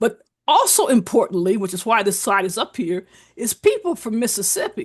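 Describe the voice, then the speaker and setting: A woman's fairly high, somewhat breathy voice with an American accent, fairly quick pace and lively intonation. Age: 70s. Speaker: physician and public health guest lecturer. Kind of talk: lecture. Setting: video call.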